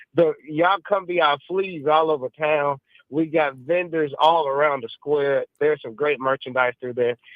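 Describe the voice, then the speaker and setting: A man talks at a moderate pace. His pitch is fairly high and his intonation fairly even. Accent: Mississippi. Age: 60s. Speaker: caller. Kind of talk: call-in radio chat. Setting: phone call. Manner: halting.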